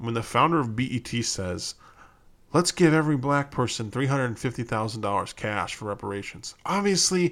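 On a very clean recording with a silent background, a man speaks with an American accent. His pitch is medium, his intonation lively and his pace moderate. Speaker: podcast host. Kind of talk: solo opinion podcast monologue. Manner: casual, emphatic, filler-heavy.

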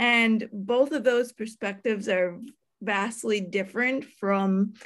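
On a very clean recording with a silent background, a woman uses a normal speaking voice, fairly high in pitch, at a fairly slow pace. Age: 30s. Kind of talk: casual interview.

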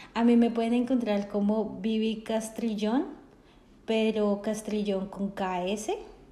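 The voice has a dark, mellow tone and sounds somewhat breathy. It moves at a very slow pace amid audible room echo. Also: woman, fairly high pitch for a woman, fairly even intonation. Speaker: podcast co-host. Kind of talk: casual chat.

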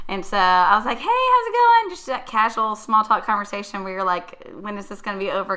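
A woman with an American accent and medium pitch, talking at a fairly quick pace with hardly any pauses, fairly even intonation, and big swings in loudness, over noticeable background noise. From South Carolina, Lexington. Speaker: podcast guest, married wife. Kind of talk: casual storytelling.

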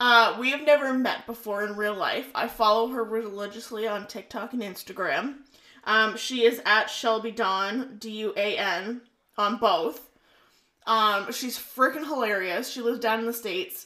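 A woman's fairly high voice with a Canadian accent, a bright, sharp tone, ordinary pitch variation and a moderate pace. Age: 20s. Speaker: podcast co-host. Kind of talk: casual chat.

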